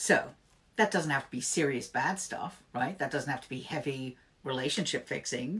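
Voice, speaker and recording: At a moderate pace, a woman with a very deep, low pitch speaks in an animated tone, her lively intonation paired with big swings in loudness. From England. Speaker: tarot reader. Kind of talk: live-stream tarot reading, casual chat. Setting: live stream. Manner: animated, chatty.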